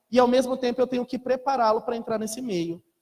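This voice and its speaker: This man's voice sits at an extremely high pitch. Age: young. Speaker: lecturer. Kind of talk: lecture.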